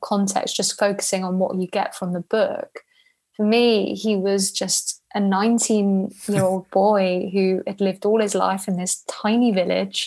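With a British accent, a woman speaks at a fairly slow pace and medium pitch. Her intonation is monotone and flat. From Spain. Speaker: travel journalist. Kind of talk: interview.

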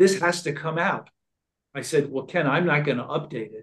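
A man speaks in a somewhat breathy voice. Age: 70s. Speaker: author and filmmaker. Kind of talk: podcast interview.

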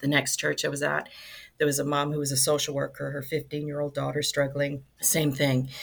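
Her very deep, low pitch carries vocal fry as the woman speaks with monotone, flat intonation. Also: moderate pace. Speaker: nonprofit ministry director. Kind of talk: casual interview chat.

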